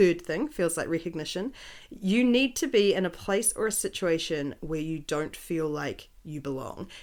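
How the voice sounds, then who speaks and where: Recorded very cleanly against a silent background, a woman with a New Zealand accent speaks at a moderate pace. Her medium-pitched voice has lively intonation. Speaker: podcast co-host. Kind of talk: casual podcast conversation.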